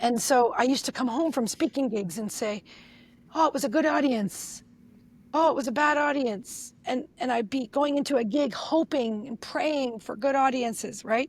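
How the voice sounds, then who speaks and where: The pace is moderate, and the recording is very clean with a silent background. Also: woman, high pitch for a woman, ordinary pitch variation. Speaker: NLP trainer and speaker coach. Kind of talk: podcast interview. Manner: animated.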